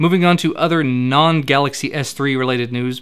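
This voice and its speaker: Fairly even in intonation, a man's voice sits at a fairly high pitch. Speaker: tech news show host. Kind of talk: tech news roundup. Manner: casual, conversational.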